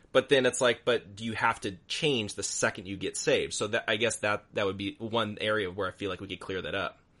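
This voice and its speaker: Against a quiet background, a bright, sharp tone moves at a fairly quick pace with fairly even intonation. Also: man, fairly low pitch for a man. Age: 30s. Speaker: podcast host. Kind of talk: interview.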